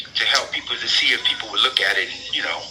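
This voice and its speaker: With noticeable background noise, a man with an American accent talks at a very fast pace. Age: 60s. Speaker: prison inmate, jailhouse lawyer. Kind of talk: interview.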